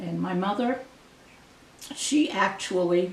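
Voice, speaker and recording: A voice with an American accent, along with audible room echo and noticeable background noise. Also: woman. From Maine, US (Grand Lake Stream). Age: 70s. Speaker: local resident sharing memories. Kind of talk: oral history interview. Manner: halting, with many fillers.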